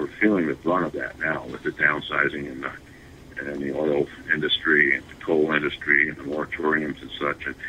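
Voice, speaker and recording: With an American accent, a man talks at a fairly quick pace in a very deep, low pitch over noticeable background noise. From US Midwest, northern Michigan. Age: 60s. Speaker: congressional candidate. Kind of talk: interview. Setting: internet radio. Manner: halting, many fillers and repeats.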